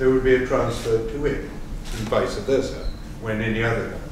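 The man's voice sits at a medium pitch with ordinary pitch variation. Room echo is audible, along with noticeable background noise. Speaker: economics professor and panel moderator. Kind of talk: panel discussion. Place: hall.

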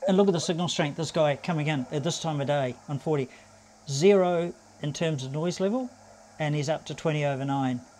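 A man's fairly high pitch with a slightly mellow tone. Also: ordinary pitch variation, fairly quick pace.

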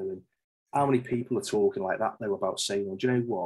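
Against a quiet background, a man speaks with a Liverpool accent and lively intonation. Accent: Scouse (Liverpool). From Liverpool, England. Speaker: safety manager and author; podcast guest. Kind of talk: interview conversation. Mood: relaxed, chatty. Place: home room. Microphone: video call.

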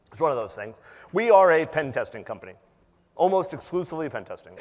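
This man's voice has vocal fry. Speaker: conference presenter. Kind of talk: conference talk. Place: hall.

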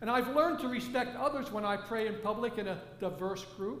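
A man speaks at a moderate pace with a high pitch. There is audible room echo.

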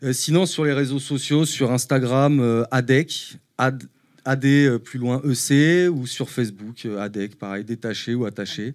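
Speaking at a very slow pace with ordinary pitch variation, the voice comes over a quiet background. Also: man. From Paris, France. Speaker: painter; guest. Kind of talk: casual interview. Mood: relaxed, thoughtful. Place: studio. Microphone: handheld.

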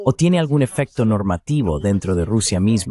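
This man talks in a normal speaking voice at a moderate pace, fairly low in pitch, with a dry, close sound and no echo. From Greece. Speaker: political commentator. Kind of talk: interview. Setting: video call.

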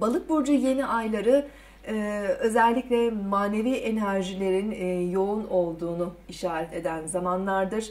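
A woman is speaking. Her pace is moderate. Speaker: presenter. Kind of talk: forecast commentary to camera. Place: studio.

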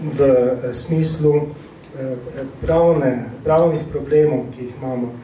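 Light background noise and audible room echo surround a man speaking with fairly even intonation. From Slovenia, Ptuj; Slovenia. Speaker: missionary priest. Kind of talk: interview. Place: hall.

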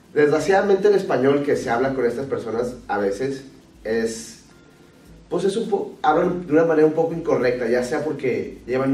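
Amid strong room echo, a man speaks at a moderate pace with ordinary pitch variation and a slightly mellow tone.

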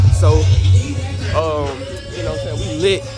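A man at a fairly quick pace, with music in the background and a dry sound with no echo. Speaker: vlogger. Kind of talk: casual vlog chat. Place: street. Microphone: phone near.

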